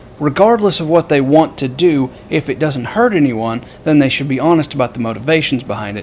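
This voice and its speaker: A man talking at a fairly quick pace with lively intonation, noticeable background noise behind him. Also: fairly high pitch for a man. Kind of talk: casual political commentary to camera. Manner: hesitant, stammering.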